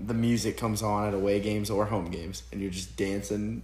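A man with an American accent speaks at a fairly low pitch, with vocal fry and ordinary pitch variation. Audible room echo surrounds his voice. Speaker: podcast host, college football player. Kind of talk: casual chat.

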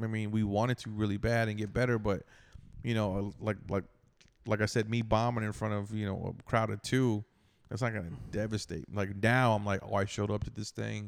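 Fairly low in pitch, a man with an ordinary speaking voice talks at a fairly quick pace with fairly even intonation in a very clean recording with a silent background. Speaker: stand-up comedian. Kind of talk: casual chat.

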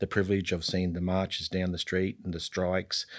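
In a very clean recording over a silent background, a man with an Australian accent talks at a fairly quick pace, his very deep, low voice flat and monotone. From North Queensland, Australia. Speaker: state politician. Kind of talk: interview. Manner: soft-spoken; halting.

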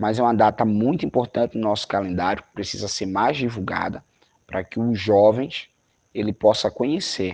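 A man with a fairly low pitch speaks in an ordinary speaking voice at a moderate pace with ordinary pitch variation, in a dry, close sound with no echo. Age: 20s. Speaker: youth movement coordinator. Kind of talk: interview. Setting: video call.

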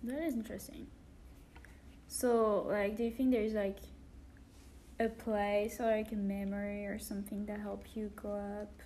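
A woman with a French accent at a medium pitch, moderate pace and fairly even intonation, with long, frequent pauses and audible room echo. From France. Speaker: podcast host. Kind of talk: scripted introduction; casual interview.

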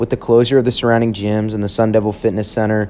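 A man's very fast, fairly low-pitched delivery in a monotone, flat intonation with an American accent. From Texas, Houston. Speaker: college student. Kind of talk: scripted narration.

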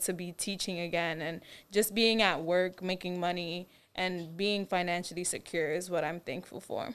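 In a very clean recording with a silent background, a woman talks at a medium pitch in an ordinary speaking voice. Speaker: STEM teacher at youth club. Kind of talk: casual chat.

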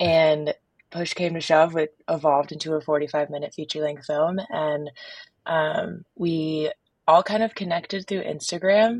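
A woman with a very deep, low voice speaks in a fairly even intonation, recorded dry and close with no echo. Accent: American. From Park City, Utah. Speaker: professional skier and film producer. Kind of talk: casual interview.

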